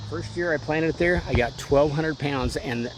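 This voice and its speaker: A man with a fairly high pitch for a man talks at a fairly quick pace with ordinary pitch variation, and there is noticeable background noise. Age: 60s. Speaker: home gardener. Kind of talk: casual chat. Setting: outdoors.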